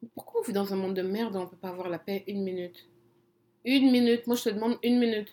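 Speaking at a very fast pace, a woman with a medium pitch sounds animated, her loudness swinging widely. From Congo. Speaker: podcast co-host. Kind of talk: casual chat.

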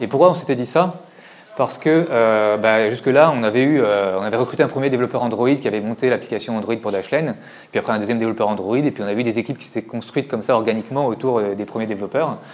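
Very fast speech from a man, medium in pitch, its pitch varying in an ordinary way. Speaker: tech company executive. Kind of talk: conference talk. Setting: stage with audience. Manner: halting, many repetitions.

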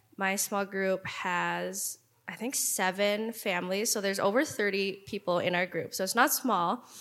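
A woman with a Canadian accent and a plain, everyday voice speaks at a moderate pace and medium pitch, with fairly even intonation and hardly any pauses. The recording is very clean, the background silent. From Vancouver, Canada. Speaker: worship team pianist and singer. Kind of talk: testimony.

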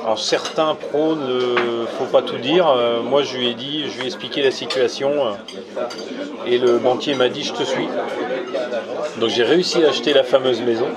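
A man in a medium pitch at a fairly slow pace, with fairly even intonation, audible room echo, and crowd noise in the background. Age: 30s. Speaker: real estate investor and author. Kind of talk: interview over lunch. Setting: restaurant.

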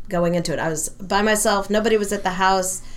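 A woman talks at a medium pitch, with audible echo from the room. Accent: American. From US West Coast, San Francisco area. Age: 60s. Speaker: rabbi and powerlifter. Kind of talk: casual interview.

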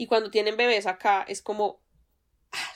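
In a very clean recording with a silent background, a woman with a Colombian accent talks at a moderate pace and medium pitch, her intonation fairly even. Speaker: podcast co-host. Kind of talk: casual chat.

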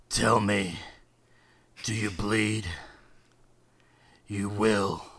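Putting on a raspy character voice, a man speaks in a flat monotone at a fairly low pitch. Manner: menacing.

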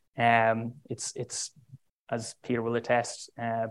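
A man with an Irish accent. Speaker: diplomat. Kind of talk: speech.

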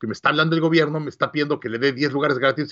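A very fast pace in a Mexican accent. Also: man. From Mexico City, Mexico. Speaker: business coach and entrepreneur. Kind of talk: interview.

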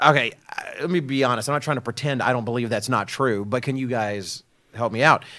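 A plain, everyday voice from a man with an American accent, medium pitch, ordinary pitch variation, and a fairly quick pace, in a very clean recording with a silent background. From Texas. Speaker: religious program host, minister. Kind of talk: casual panel discussion.

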